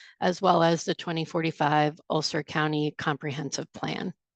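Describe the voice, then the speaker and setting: Vocal fry runs through a woman's speech at a moderate pace. The sound is dry and close with no echo, over a quiet background. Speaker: transportation study presenter. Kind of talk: virtual meeting presentation. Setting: video call. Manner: loud.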